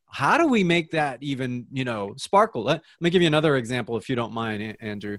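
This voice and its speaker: With a fairly high pitch and lively intonation, a man talks in an ordinary speaking voice on a very clean recording with a silent background. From US, New Jersey. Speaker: dietitian. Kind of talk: interview.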